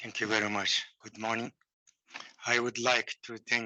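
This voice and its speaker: In a Mongolian accent, a man speaks at medium pitch. His pace is fairly slow and his intonation monotone and flat. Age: old. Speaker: professor. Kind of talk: presentation. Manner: halting.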